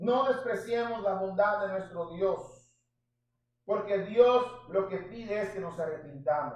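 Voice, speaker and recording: A man with a high voice talks very slowly, his pitch shifting in an ordinary way. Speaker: pastor. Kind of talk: sermon. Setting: church. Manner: animated.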